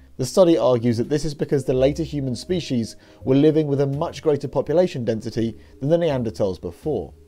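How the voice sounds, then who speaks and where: Music plays behind a man speaking at a very fast pace. His intonation is lively. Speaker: news presenter. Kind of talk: news narration.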